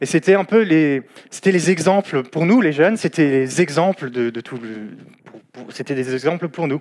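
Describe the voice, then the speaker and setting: A man's fairly high voice at a moderate pace, with lively intonation and big swings in loudness. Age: 20s. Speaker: lay preacher. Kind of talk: sermon. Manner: halting.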